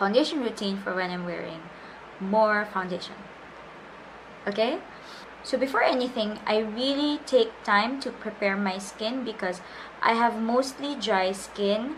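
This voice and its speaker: Over noticeable background noise, a woman talks at a fairly slow pace in a fairly high pitch with ordinary pitch variation and long, frequent pauses. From Philippines. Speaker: beauty vlogger and freelance makeup artist. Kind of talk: makeup tutorial talk to camera.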